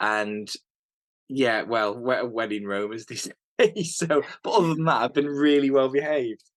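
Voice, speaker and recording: Speaking at a moderate pace, a man with a British accent uses a medium pitch and ordinary pitch variation. He leaves long, frequent pauses. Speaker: hunter. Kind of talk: casual chat. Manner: halting, repeats words.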